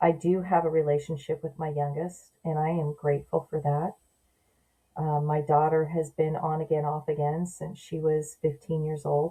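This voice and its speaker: A woman with an American accent speaks in a very deep, low pitch with a dark, mellow tone and somewhat breathy quality. Her intonation is monotone and flat, and her pace is moderate. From Southern California. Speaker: adoption story guest, mother. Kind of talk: podcast interview.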